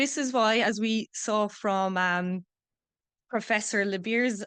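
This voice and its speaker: With an Irish accent, a woman at medium pitch talks at a fairly slow pace against a quiet background. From Ireland. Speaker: PhD student researcher. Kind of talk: conference talk.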